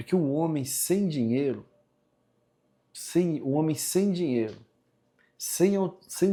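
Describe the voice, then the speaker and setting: A man with a fairly high pitch and a dark, mellow tone speaks at a fairly slow pace on a very clean recording with a silent background. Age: 60s. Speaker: vlogger. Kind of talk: personal storytelling monologue. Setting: at home, kitchen sink. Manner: casual, conversational.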